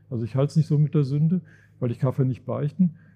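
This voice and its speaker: A man speaks at a fairly high pitch, his tone dark and mellow and somewhat breathy. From Germany, Sauerland. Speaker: finance professor. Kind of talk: live podcast conversation on stage. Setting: stage with audience in a reverberant monastery room. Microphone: heavy room echo.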